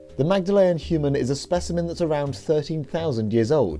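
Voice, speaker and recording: A man's voice with very wide pitch swings at a moderate pace, with music in the background. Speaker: news presenter. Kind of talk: news narration.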